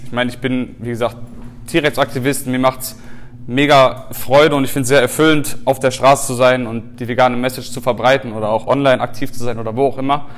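A man's very fast, monotone delivery with flat intonation, over noticeable background noise. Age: 20s. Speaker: animal rights activist and podcast host. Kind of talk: lecture. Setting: stage with audience.

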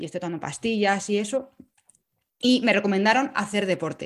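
A woman talks at a fairly quick pace. Her medium-pitched voice shows ordinary pitch variation. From Spain, Madrid and Salamanca. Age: 30s. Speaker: podcaster and runner. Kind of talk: interview, casual chat. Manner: talkative.

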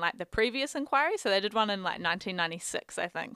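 A woman speaks with a New Zealand accent. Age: 20s. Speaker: psychology PhD student. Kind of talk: casual chat.

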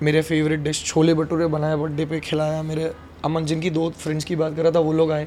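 Over noticeable background noise, a man with a fairly high voice talks at a moderate pace in a monotone, flat intonation. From Madhya Pradesh, India (Vidisha). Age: 20s. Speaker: singer. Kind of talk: casual chat.

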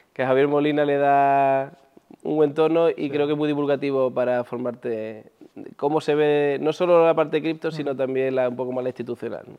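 At a moderate pace, a man talks in an ordinary speaking voice, pitched fairly high, with fairly even intonation. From Andalusia, Spain (Huelva). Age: 40s. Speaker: entrepreneur, former pro basketball player. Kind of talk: interview.

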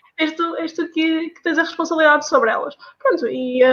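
With a northern Portuguese accent, a woman talks at a very fast pace using fairly even intonation. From northern Portugal. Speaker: pharmacy student. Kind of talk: casual chat.

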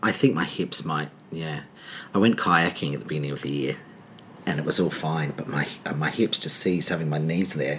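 A man with an Australian accent speaks at a fairly quick pace in a very deep, low voice, with ordinary pitch variation. Long pauses come often, and background noise is noticeable. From Adelaide, Australia. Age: 40s. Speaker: choreographer and director. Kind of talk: casual interview chat.

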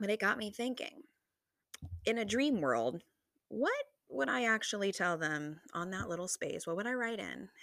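A woman with vocal fry talks at a medium pitch, her voice making very wide pitch swings. Her tone is animated, broken by long, frequent pauses. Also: moderate pace. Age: 20s. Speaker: solo podcast host. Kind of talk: casual monologue.

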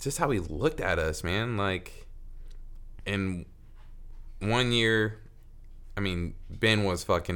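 With an American accent and fairly low pitch, a man speaks very slowly, leaving long, frequent pauses. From US Midwest, Lincoln, Nebraska. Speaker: podcast guest. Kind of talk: casual chat.

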